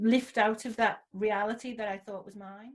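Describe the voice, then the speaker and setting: Using monotone, flat intonation, a woman with a Liverpool accent speaks at a fairly high pitch in a somewhat breathy voice. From Liverpool, England (Toxteth). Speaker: social entrepreneur. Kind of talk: interview.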